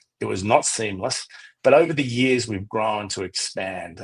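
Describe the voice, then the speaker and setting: With an Australian accent, a man talks at a moderate pace in a fairly low pitch with ordinary pitch variation. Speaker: travel company founder, former journalist. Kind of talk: radio interview.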